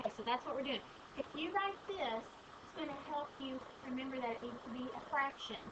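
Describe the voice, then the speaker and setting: Her voice raised and projected, a woman with a high pitch and ordinary pitch variation speaks amid audible room echo. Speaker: math teacher. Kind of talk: lecture.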